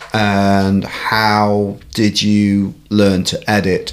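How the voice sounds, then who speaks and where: A man speaks with a fairly low pitch. Noticeable background noise can be heard. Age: 50s. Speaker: podcast host. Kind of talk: casual interview chat.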